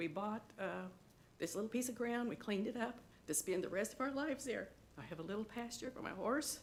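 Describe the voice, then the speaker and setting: A woman talks at a fairly quick pace with a fairly high pitch and lively intonation. Her voice has vocal fry. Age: 60s. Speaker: resident giving public comment. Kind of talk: public comment at county meeting.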